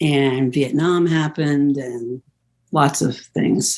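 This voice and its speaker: Here a woman speaks with an American accent and a very deep, low pitch. Her pitch varies in an ordinary way. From US West Coast, San Francisco Bay Area. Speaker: musician and composer. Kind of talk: interview conversation.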